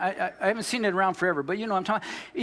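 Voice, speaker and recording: There is noticeable background noise. Over it, a man talks in an animated tone. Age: 60s. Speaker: pastor. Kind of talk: sermon.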